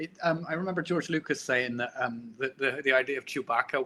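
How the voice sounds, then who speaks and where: A man with a Bristolian accent, a bright, sharp tone, fairly even intonation and a fairly quick pace. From Bristol, England. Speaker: comic book artist. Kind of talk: casual interview chat. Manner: halting.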